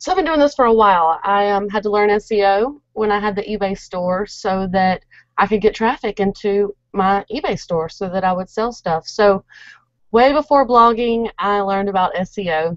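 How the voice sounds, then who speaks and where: A woman talks at a moderate pace in an Alabama accent. The sound is dry with no echo, over a quiet background. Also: medium pitch for a woman, ordinary pitch variation. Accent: Alabama twang. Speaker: blogger. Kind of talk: casual chat. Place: home room. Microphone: webcam.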